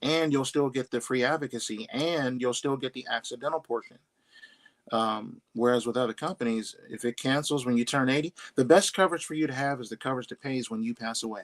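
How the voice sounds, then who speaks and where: In an ordinary speaking voice, a man talks at a fairly quick pace and medium pitch with ordinary pitch variation. The sound is dry and close, with no echo. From Pittsburgh, Pennsylvania. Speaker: insurance underwriter. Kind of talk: interview answer.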